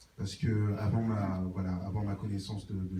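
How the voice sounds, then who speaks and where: Fairly low male voice, monotone and flat, at a moderate pace over noticeable background noise. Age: 20s. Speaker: church member giving testimony. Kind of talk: testimony. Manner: halting, many filler words.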